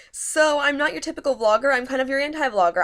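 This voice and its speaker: A woman's pitch varies in an ordinary way on a very clean recording with a silent background. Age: 20s. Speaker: vlogger and grad student. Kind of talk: casual vlog chat. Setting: bedroom. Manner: fast; loud.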